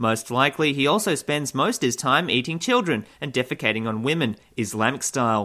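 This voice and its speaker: With an Australian accent, a man speaks fairly quickly in a medium pitch, his tone bright and sharp and his intonation lively, on a very clean recording with a silent background. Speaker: satirical news host. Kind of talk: comedic news parody.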